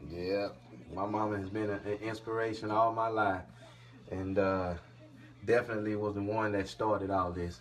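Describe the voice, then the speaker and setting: A man with a fairly low pitch talks at a moderate pace in a flat monotone, leaving long, frequent pauses over light background noise. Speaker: father, channel host. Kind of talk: casual talk to camera. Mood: warm, grateful, smiling. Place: home room. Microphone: phone near.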